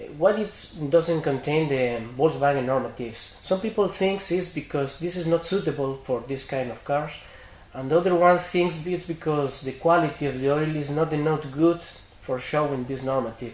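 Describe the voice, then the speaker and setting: Over noticeable background noise, a man with a Spanish accent talks at a moderate pace in a fairly high pitch, with ordinary pitch variation. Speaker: interviewer, shop representative. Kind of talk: interview. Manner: halting English.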